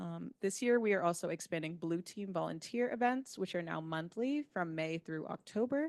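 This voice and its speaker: With an American accent, a woman speaks at a moderate pace in a plain, everyday voice, fairly low in pitch and lively in intonation, with hardly any pauses and a dry, close sound with no echo. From New York. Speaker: park education staff presenter. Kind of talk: meeting presentation. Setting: meeting room with hybrid video call.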